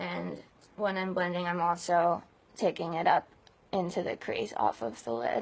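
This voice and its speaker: Speaking with an American accent, a woman uses a fairly low pitch, vocal fry, and lively intonation. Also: moderate pace. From California. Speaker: beauty vlogger. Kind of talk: tutorial. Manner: chatty.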